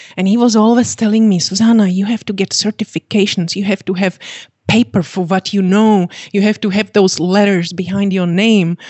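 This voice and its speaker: A woman talks fairly quickly in a Czech accent. Her medium-pitched voice stays monotone and flat. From Czechoslovakia. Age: 50s. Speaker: fitness coach and author. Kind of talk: interview. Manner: giggly, cheerful.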